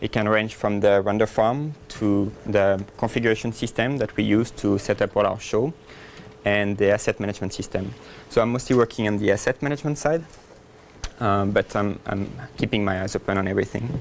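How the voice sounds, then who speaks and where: A man with a French accent talks in a fairly low pitch with ordinary pitch variation. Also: fairly quick pace. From France. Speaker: software engineer, conference speaker. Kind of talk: conference talk. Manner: fast.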